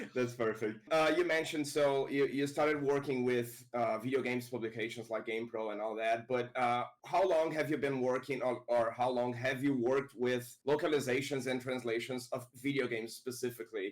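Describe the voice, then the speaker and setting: Talking at a fairly quick pace with hardly any pauses, a man keeps a medium pitch and fairly even intonation. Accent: Portuguese. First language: Portuguese. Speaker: interviewer. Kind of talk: interview. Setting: live online stream.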